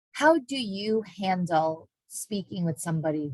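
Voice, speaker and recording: A somewhat breathy woman with ordinary pitch variation, in a dry, close sound with no echo. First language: not English. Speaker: university diversity education staff, moderator. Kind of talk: moderated online panel discussion.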